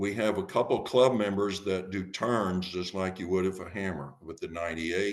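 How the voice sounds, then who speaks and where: Very deep and low in pitch, a man speaks with fairly even intonation and hardly any pauses. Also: moderate pace. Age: 70s. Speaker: masters track and field thrower, club president. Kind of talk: podcast interview.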